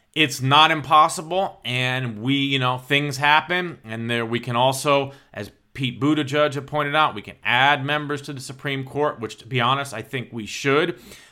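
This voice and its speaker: A man with an American accent speaks in a bright, sharp tone at a fairly high pitch, with fairly even intonation and hardly any pauses. His loudness swings widely. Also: moderate pace. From United States. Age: 50s. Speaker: political podcast host. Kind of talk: solo political commentary.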